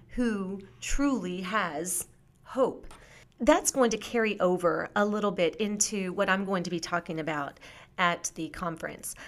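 With an American accent and an unremarkable speaking voice, a woman of medium pitch speaks with lively intonation. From US, military family moving around. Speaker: author and teacher. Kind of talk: interview.

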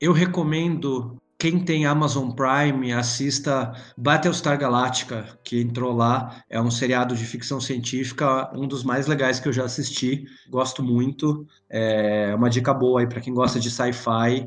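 At a fairly slow pace and with fairly even intonation, a man speaks in a normal speaking voice at a medium pitch. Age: 40s. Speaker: comics editor and journalist. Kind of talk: casual chat. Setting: video call.

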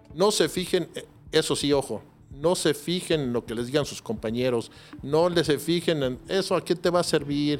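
Music playing behind a man's moderately paced speech. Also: fairly high pitch for a man, ordinary pitch variation. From Mexico City. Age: 40s. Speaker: private security professional. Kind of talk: interview.

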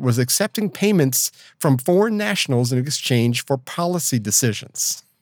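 The recording is very clean, with nothing audible in the background. Here a man talks at a medium pitch. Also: hardly any pauses, very even loudness. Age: 60s. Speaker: podcast co-host. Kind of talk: casual chat. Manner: fast.

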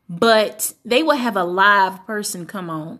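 A plain, everyday voice speaks with an American accent and ordinary pitch variation. The recording is very clean, with a silent background. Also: woman. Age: 20s. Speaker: pastor's wife and community activist. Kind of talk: casual chat.

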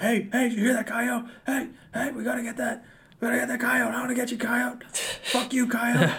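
This put-on character voice is fairly high in pitch and moves at a moderate pace. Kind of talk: crude, profane. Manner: aggressive, riled up.

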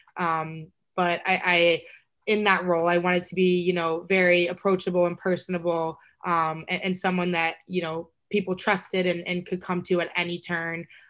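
Against a quiet background, a woman with a fairly low voice speaks at a moderate pace in a monotone, flat intonation. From Texas. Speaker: college lacrosse player. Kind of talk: casual interview.

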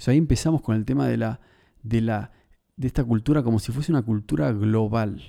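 A man talks very fast in a dark, mellow tone with lively intonation. The recording is very clean, with a silent background. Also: medium pitch for a man. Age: 30s. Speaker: podcast host. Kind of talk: solo monologue podcast. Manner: halting, repeats words.

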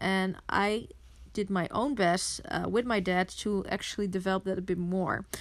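A woman speaks with a Dutch accent at a medium pitch and a moderate pace. Her loudness stays very even, and her intonation is fairly even. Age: 20s. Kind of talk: solo podcast monologue.

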